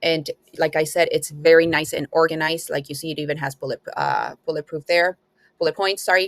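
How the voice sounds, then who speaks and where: Speaking fairly quickly with a non-native accent, a woman holds a flat, monotone intonation at a fairly low pitch. The sound is dry and close, with no echo. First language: not English. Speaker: student app reviewer. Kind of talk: tutorial. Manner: hesitant, many fillers.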